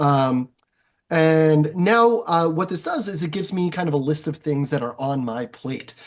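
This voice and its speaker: This man has a fairly high pitch. His pitch varies in an ordinary way. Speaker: teacher, yearbook club advisor. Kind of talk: tutorial. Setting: screen-share session, recorded. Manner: fast; casual, many fillers.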